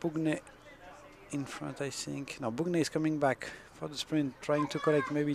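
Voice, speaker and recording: With a French accent, a man talks at a moderate pace in a fairly high pitch. His intonation stays monotone and flat, and there is noticeable background noise. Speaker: sports commentator. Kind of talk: live commentary.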